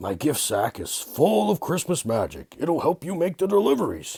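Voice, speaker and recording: A man puts on a raspy character voice with a warm tone, fairly high pitch, and very wide pitch swings. He keeps a moderate pace, and the sound is dry and close with no echo. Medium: read story. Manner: warm, fatherly.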